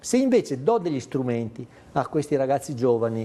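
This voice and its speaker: The speaker is a man with a fairly high pitch. He talks fairly slowly with ordinary pitch variation. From Veneto, Treviso. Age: 60s. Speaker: documentary maker and teacher. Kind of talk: TV interview. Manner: animated.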